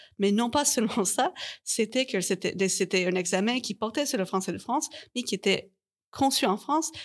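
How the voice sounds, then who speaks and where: A woman speaks at a moderate pace with a fairly high pitch and lively intonation, in a very clean recording with a silent background. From Canada. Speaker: linguistics researcher. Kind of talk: panel interview. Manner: halting, many repetitions.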